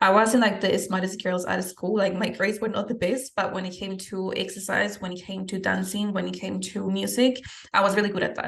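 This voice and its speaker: Monotone, flat intonation in a Spanish accent at a fairly quick pace, with hardly any pauses and noticeable background noise. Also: woman, medium pitch for a woman. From Peru. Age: 20s. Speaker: fitness coach and podcast host. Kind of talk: podcast interview, answering questions about her life.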